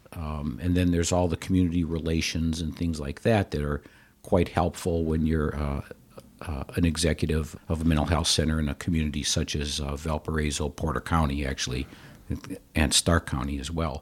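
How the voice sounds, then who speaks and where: This man has a very deep, low voice and an American accent. He speaks at a fairly quick pace in a monotone, flat intonation. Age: 60s. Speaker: retired mental health executive turned gallery owner. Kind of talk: casual interview conversation.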